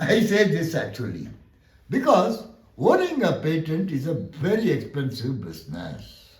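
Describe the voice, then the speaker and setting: A man speaks fairly slowly at a fairly high pitch, his voice showing vocal fry. His pitch swings very widely, and audible room echo surrounds him. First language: Tamil. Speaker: law lecturer. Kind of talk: lecture.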